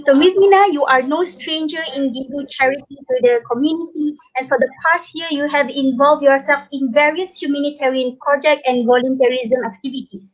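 Over a quiet background, a woman speaks at a high pitch. Her pace is fairly quick, with ordinary pitch variation. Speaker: online show host. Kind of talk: interview. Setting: hotel room, online call. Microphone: bad internet connection; video call.

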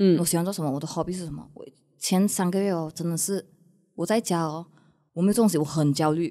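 Speaking at a very fast pace against a quiet background, a woman has a dark, mellow tone, fairly even intonation and big swings in loudness. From Malaysia. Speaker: content creator. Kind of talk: casual chat. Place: studio. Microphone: studio mic.

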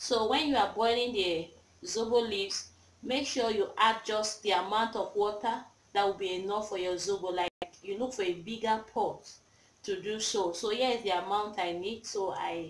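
A woman talks at a moderate pace with ordinary pitch variation, and the room echo is audible. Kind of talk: tutorial. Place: kitchen. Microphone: phone near.

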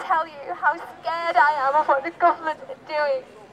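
A woman with a high pitch and ordinary pitch variation, crowd noise in the background. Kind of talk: protest speech. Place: street. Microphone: camera far.

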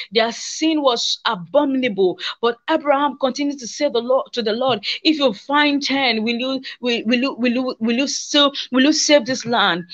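At a moderate pace with hardly any pauses, a woman speaks in a high pitch with ordinary pitch variation against a quiet background. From Nigeria. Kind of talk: testimony. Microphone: phone near.

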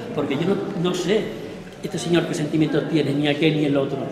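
A man's voice carries audible room echo. Noticeable background noise sits behind it. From Extremadura, Spain. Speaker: artist. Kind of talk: exhibition talk to audience. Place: hall. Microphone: lapel.

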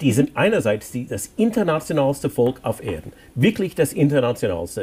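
A man with a somewhat breathy voice moves through very wide pitch swings at a moderate pace. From Hawaii, US. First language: English (speaking German). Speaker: author; guest. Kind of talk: interview. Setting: studio. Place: studio.

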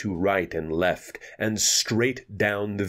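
Pitch shifts in an ordinary way throughout this natural reading voice.

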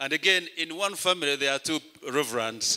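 A bright, sharp tone against a quiet background. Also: man. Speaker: bishop preaching. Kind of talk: sermon. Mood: warm, grateful. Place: church. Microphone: handheld.

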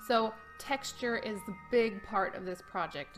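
Clear music plays behind a woman whose speech has ordinary pitch variation. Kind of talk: tutorial. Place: home room.

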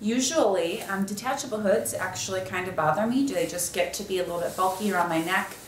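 A woman talks at a fairly quick pace, with light background noise and audible room echo. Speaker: product reviewer. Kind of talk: casual product review. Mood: warm, enthusiastic. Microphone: camera far.

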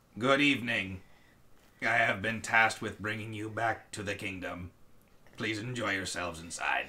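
Using a put-on character voice, a man speaks at a moderate pace with a fairly low pitch. His intonation stays fairly even, broken by long, frequent pauses. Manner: politely formal.

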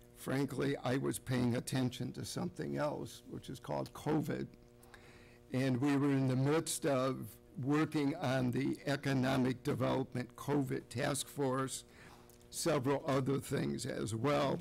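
This man talks with vocal fry and fairly even intonation. Light background noise sits under his voice. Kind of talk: formal meeting remarks. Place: hall. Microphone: podium.

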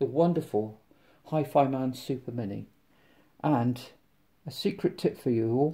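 The man's voice has a dark, mellow tone, somewhat breathy, delivered at a moderate pace. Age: 50s. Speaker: tech reviewer. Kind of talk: product unboxing review. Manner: casual, halting with fillers. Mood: enthusiastic, chatty. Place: home room. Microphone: phone near.

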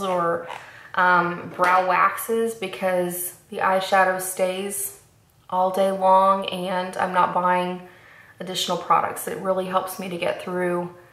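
With audible room echo, a woman speaks at a fairly slow pace in a monotone, flat intonation. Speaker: beauty vlogger. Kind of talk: makeup tutorial chat. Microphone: camera far.

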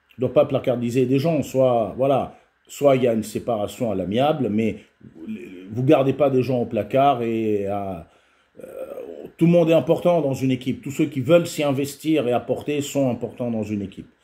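At a moderate pace, a man speaks with a dark, mellow tone and ordinary pitch variation. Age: 50s. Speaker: football video commentator and youth football coach; football video commentator, youth football coach. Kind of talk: casual solo video commentary. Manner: halting, frequent repetitions and fillers. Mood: frustrated, critical. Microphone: webcam.

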